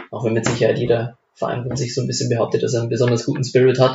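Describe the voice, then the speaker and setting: A male speaker rushes along at a very fast pace, his medium pitch held in monotone, flat intonation. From Upper Palatinate, Bavaria (Lengenfeld near Amberg). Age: 20s. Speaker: amateur football club member. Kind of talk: casual chat. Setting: home kitchen.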